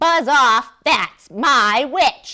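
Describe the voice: A woman puts on a character voice that is high-pitched, shrill, croaky and growling.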